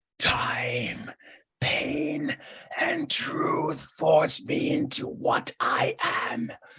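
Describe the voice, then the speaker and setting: A man puts on a character voice, growling and hissing in a menacing tone at a very slow pace. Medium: actual play. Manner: hissing, menacing.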